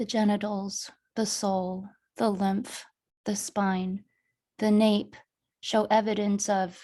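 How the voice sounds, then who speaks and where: A woman speaks very slowly in a dark, mellow, somewhat breathy voice at a medium pitch, with monotone, flat intonation and long, frequent pauses. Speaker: poet and author. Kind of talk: poetry reading.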